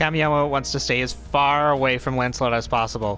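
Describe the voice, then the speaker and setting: Against music in the background, a man speaks at a moderate pace. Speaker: let's play commentator. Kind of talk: casual gameplay commentary. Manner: stuttering, hesitant.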